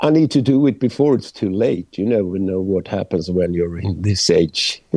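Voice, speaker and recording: With a dark, mellow tone, a man speaks at a moderate pace with lively intonation. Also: fairly low pitch for a man. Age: 60s. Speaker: metal singer. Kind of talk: interview. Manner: halting.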